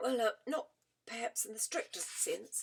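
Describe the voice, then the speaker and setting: A woman puts on a raspy character voice. She speaks at a moderate pace. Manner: stammering, hesitant.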